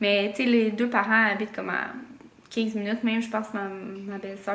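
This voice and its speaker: Amid noticeable background noise and audible room echo, a woman with a Quebec accent speaks at medium pitch and a moderate pace, her intonation fairly even. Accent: Québécois French. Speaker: vlogger. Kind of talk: casual vlog chat. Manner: hesitant, many fillers.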